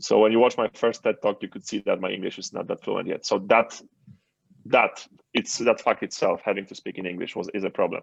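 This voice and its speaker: With a Polish accent, a man talks at a fairly quick pace, his loudness swinging widely, in a dry, close sound with no echo. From Poland. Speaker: entrepreneur and author. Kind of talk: interview.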